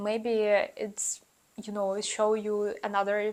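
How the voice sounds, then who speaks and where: Speaking very slowly, the woman has a non-native accent. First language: not English. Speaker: YouTuber giving student advice. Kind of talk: casual vlog advice. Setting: talking to camera. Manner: hesitant, many fillers.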